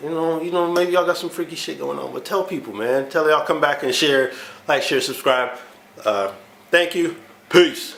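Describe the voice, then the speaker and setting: With noticeable noise behind him, a man speaks in a high pitch with ordinary pitch variation. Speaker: car vlogger. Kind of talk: casual vlog. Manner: fast.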